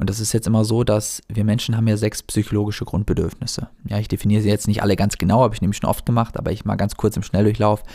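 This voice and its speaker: The tone is dark and mellow. Delivery is very fast, with monotone, flat intonation. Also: man, fairly low pitch for a man. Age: 20s. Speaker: life coach and podcast host. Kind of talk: solo podcast monologue. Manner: casual, with many filler words.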